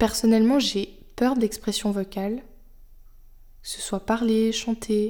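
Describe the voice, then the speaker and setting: A woman talks at a fairly high pitch in a dark, mellow tone. Her intonation is monotone and flat, and her pace is very slow. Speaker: podcast host. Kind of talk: solo monologue. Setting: home, on her sofa. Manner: unscripted, hesitant.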